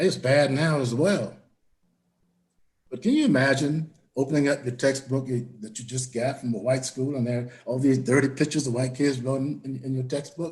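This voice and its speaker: With an American accent, a man speaks at medium pitch and a moderate pace, somewhat breathy, with fairly even intonation. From Florida, Volusia County. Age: 80s+. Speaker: town hall panelist, elder educator. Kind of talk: panel discussion.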